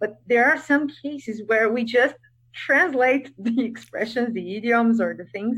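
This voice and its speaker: Speech in a Portuguese accent shows ordinary pitch variation. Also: woman. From Brazil. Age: 30s. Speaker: English teacher. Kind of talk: interview.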